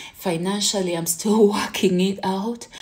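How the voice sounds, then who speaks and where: A woman speaks at a fairly slow pace, her somewhat breathy voice carrying a dark, mellow tone. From Uganda. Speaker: content creator. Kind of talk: vlog monologue. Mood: earnest, mildly frustrated. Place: home room. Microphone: phone near.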